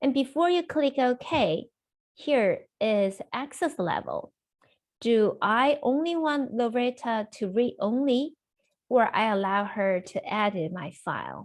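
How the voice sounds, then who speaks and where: A high-pitched woman with lively intonation at a very slow pace, against a quiet background. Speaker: software trainer. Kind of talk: webinar tutorial. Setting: video call. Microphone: video call.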